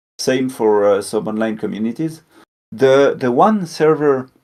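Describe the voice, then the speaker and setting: At a moderate pace, a man speaks with a French accent. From French-speaking Switzerland. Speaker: robot builder and video creator. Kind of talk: interview. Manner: halting, many fillers.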